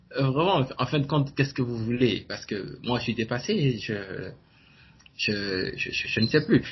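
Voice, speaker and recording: A man speaks at a fairly slow pace in a medium pitch, somewhat breathy. His intonation is lively. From Benin. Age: 20s. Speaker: entrepreneur and blogger. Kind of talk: interview. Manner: halting.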